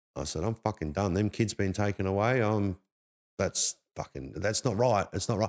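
A moderate pace in an Australian accent, with ordinary pitch variation and a dry, close sound with no echo on a very clean recording with a silent background. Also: man, fairly low pitch for a man. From Perth, Australia. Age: 40s. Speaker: former homeless man sharing life story. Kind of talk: casual chat.

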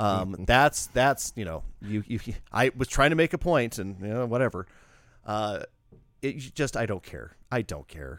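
In a very clean recording with a silent background and a dry, close sound with no echo, a man speaks at a fairly slow pace and a medium pitch with vocal fry, lively intonation and big swings in loudness. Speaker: DJ and returning guest. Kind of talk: casual chat. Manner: halting, repeats words.

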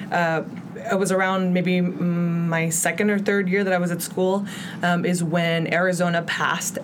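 A woman with a fairly low pitch speaks in an American accent at a moderate pace and with fairly even intonation. Room echo is audible and background noise is noticeable. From Mexico City, then Chicago from age 10. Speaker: city council candidate, community organizer. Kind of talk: interview. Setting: studio.

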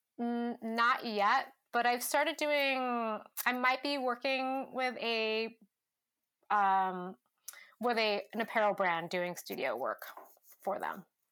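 In an American accent, a woman speaks at a very slow pace with long, frequent pauses, her high voice bright and sharp in tone, on a very clean recording with a silent background. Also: ordinary pitch variation. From California, Stockton. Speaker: outdoor and adventure photographer. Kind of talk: interview conversation. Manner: casual, many fillers like um and like.

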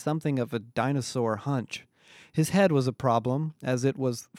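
Text read aloud, natural voice.

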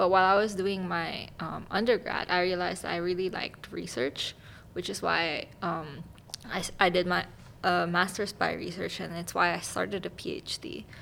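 A woman speaks at a moderate pace and a fairly low pitch, with fairly even intonation. Her tone is bright and sharp, with vocal fry. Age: 20s. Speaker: master's student in bioinformatics. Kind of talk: casual chat.

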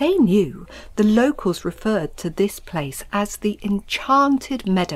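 Lively intonation throughout a plain reading aloud

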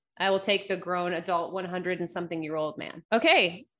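This is a woman's voice. She talks with an East Coast US accent. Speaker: sports podcast host. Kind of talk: casual chat.

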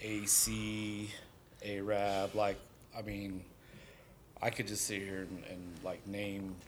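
With long, frequent pauses, a man speaks very slowly in a fairly low, monotone voice with flat intonation, and room echo is audible. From Southern California. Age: 40s. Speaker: graffiti artist and tattooer. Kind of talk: casual chat.

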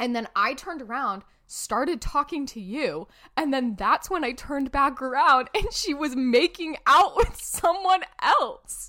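A woman's high, raised, projected voice, animated in tone, with very wide pitch swings and a fairly slow pace. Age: 20s. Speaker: podcast co-host. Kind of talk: casual chat.

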